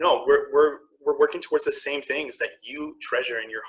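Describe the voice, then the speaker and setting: At a moderate pace, a man talks with a Canadian accent. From Ontario, Canada. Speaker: queer activist and health worker. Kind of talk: panel conversation. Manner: loud.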